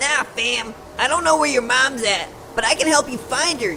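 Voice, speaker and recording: Putting on a cartoonish character voice, a man uses a raised, projected voice at an extremely high pitch and a moderate pace over clear background noise. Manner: slangy, keeps saying fam.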